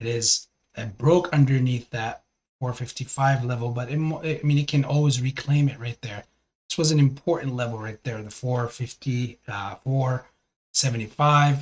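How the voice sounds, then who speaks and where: A somewhat breathy man's voice, medium in pitch, with fairly even intonation at a moderate pace. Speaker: stock market livestreamer. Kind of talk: live stream commentary.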